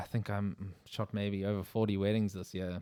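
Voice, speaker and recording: In a very clean recording with a silent background, a man with a South African accent speaks at a moderate pace, fairly low-pitched and in a monotone, flat intonation. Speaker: wedding photographer, podcast co-host. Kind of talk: casual chat.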